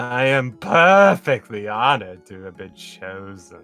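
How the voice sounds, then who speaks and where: A man performs a put-on character voice at medium pitch. He speaks fairly slowly over faint music in the background. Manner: stiff, formal, proud.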